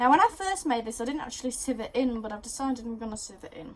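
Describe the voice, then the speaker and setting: Someone speaks with an English accent at a very fast pace. The pitch varies in an ordinary way. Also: woman. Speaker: baking video host. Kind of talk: casual cooking tutorial.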